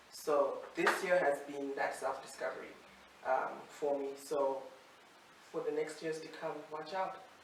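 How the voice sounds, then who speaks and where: Pausing long and often, a woman talks fairly slowly in a very deep, low pitch with fairly even intonation. Noticeable background noise and audible room echo come through. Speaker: TV presenter. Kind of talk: casual chat. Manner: loud.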